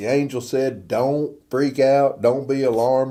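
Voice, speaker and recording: With a Texan accent, a man speaks in a dark, mellow tone at a fairly slow pace. Audible room echo surrounds his voice. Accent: Texan Southern US. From US South, Northeast Texas. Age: 60s. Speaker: pastor. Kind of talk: informal sermon. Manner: casual, conversational.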